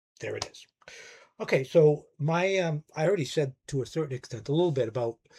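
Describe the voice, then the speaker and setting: Somewhat breathy and fairly high-pitched, a man talks at a fairly quick pace with big swings in loudness. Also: ordinary pitch variation, dry, close sound with no echo. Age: 60s. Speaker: music YouTuber, record collector. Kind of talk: casual monologue review.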